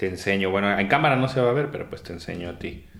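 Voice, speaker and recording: With lively intonation, a man talks in a fairly low pitch. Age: 30s. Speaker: comedian and schoolteacher. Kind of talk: casual chat.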